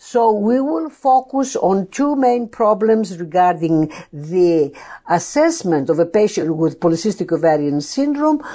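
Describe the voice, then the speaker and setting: In a Greek accent, a woman of medium pitch speaks at a fairly slow pace with very wide pitch swings, a dark, mellow tone and very even loudness. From Greece, Athens. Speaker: endocrinology professor. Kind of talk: lecture. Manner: halting.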